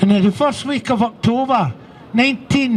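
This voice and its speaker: In a Scottish accent, a man talks at a fairly slow pace with ordinary pitch variation against noticeable background noise. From Scotland. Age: 70s. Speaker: abuse survivor speaker. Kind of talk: testimony.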